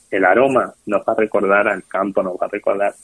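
A man talks at a moderate pace. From Spain, Toledo. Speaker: restaurateur and hospitality school director. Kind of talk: interview.

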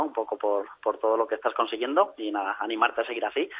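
His pitch falls in the medium range. The man's delivery is very fast. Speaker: athletics coach. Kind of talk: interview. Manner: halting.

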